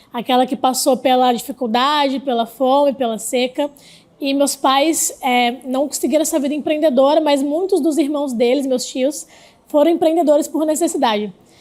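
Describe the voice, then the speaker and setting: A woman speaks with a high pitch. Her pace is moderate and her pitch varies in an ordinary way. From Brazil, Rio Grande do Norte (Northeast). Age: 20s. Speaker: startup investor, entrepreneur. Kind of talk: interview.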